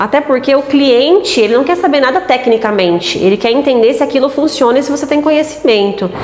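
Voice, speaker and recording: Lively in intonation, a woman talks at a high pitch and a fairly quick pace with hardly any pauses. Noticeable background noise runs underneath. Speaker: aesthetics professional and content creator. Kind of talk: tutorial.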